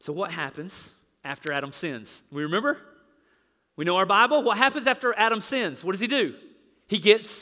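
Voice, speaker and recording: With a bright, sharp tone and a raised, projected voice, a man speaks at a moderate pace in a high pitch, his pitch swinging very widely between long, frequent pauses. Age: 40s. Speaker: pastor. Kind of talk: sermon.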